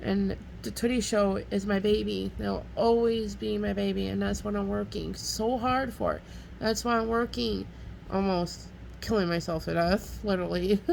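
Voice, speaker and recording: A woman speaks at a moderate pace. Her voice carries an audible room echo. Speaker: vlogger and restaurant worker. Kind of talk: casual monologue vlog. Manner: loud.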